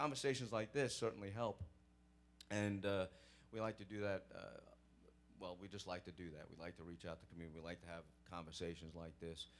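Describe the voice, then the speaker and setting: A man with a Brooklyn accent, very deep and low in pitch, very fast yet broken by long, frequent pauses, with ordinary pitch variation and big swings in loudness. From New York (Brooklyn). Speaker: police sergeant. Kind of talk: Q&A talk at church program. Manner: hesitant, many fillers.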